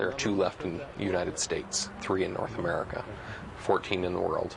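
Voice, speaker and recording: A man's moderate-paced speech is heard with noticeable background noise. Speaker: photographer.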